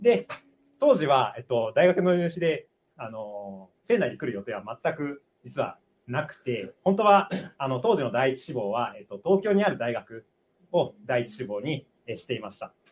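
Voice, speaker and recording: At a moderate pace, a man with a medium-pitched voice speaks with big swings in loudness and very wide pitch swings. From Japan, Aichi. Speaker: doctoral student. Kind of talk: testimony. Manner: halting.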